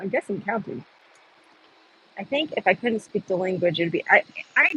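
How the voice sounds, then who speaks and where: The speaker talks at a moderate pace with long, frequent pauses. Background noise is noticeable. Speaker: protester livestreamer. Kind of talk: casual chat. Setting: outdoors. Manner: soft-spoken; halting.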